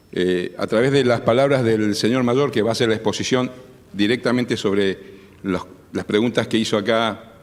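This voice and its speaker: This man's pitch shows ordinary variation. He speaks fairly quickly. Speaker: army colonel. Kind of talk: formal speech. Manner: formal.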